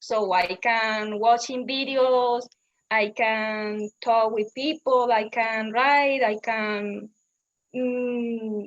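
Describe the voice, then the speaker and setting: In a Spanish accent, a woman talks at a very slow pace with a fairly high pitch and fairly even intonation. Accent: Spanish accent, noticeable. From Colombia. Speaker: English learner. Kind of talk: casual chat. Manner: halting.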